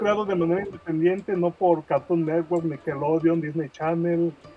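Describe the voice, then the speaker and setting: A man with a high pitch at a moderate pace, fairly even intonation, and music in the background. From Mexico, Guadalajara, Jalisco. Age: 40s. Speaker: comic creator and graphic designer. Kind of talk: podcast interview.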